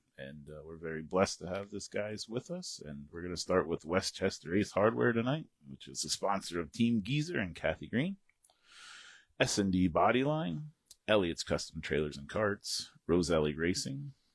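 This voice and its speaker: Pitch swings very widely while the speaker keeps a moderate pace. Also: man, very deep, low pitch for a man. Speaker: podcast co-host. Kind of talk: sponsor read on a casual talk show. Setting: studio.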